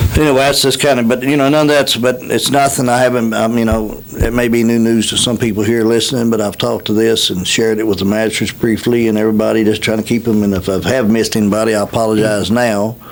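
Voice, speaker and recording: Talking at a very fast pace with hardly any pauses and very even loudness, a man is heard over noticeable background noise. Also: medium pitch for a man, fairly even intonation. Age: 60s. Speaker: county executive official. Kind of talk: radio interview. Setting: radio studio. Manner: halting, many fillers.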